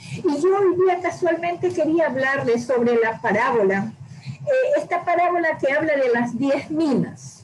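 With noticeable background noise, a high-pitched woman speaks fairly slowly, her intonation lively and her loudness very even. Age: 60s. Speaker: church member giving testimony and teaching. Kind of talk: testimony and Bible teaching.

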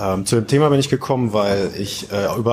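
Noticeable background noise runs under speech whose intonation is fairly even. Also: man. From northern Germany, Oldenburg. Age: 30s. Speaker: real estate developer and investor. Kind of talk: interview.

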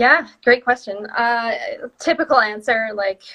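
A woman speaks at a fairly slow pace with a Canadian accent. Her tone is bright and sharp. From northern Ontario, Canada. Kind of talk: casual interview chat.

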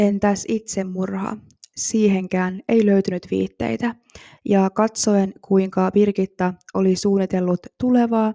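Calm and dark, mellow in tone, a woman speaks at a very slow pace with ordinary pitch variation in a dry, close sound with no echo. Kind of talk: true-crime narration. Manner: calm, measured, factual storytelling; formal, even and serious.

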